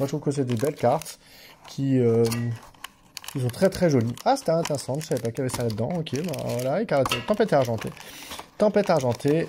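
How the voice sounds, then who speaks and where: A man is talking here. His pace is very fast. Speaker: YouTuber opening card packs. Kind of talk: casual unboxing video. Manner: halting, repeats words.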